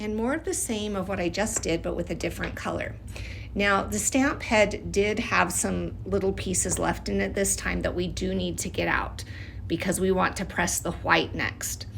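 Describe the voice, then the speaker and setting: Noticeable noise fills the background. A woman talks at a moderate pace. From Utah/Idaho, USA. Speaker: wax seal artist. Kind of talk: craft tutorial voice-over. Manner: casual, friendly.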